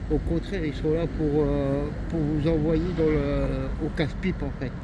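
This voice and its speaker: A man talks fairly slowly in a space with audible room echo, and background noise is noticeable. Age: 40s. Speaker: homeless man. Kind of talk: testimony. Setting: outdoors in a shopping area.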